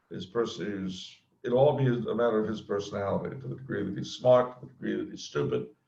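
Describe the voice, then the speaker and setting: The speaker has an American accent, lively intonation and a moderate pace. The tone is dark and mellow, with audible room echo. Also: man. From US West Coast, Los Angeles. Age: 50s. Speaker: author. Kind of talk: interview.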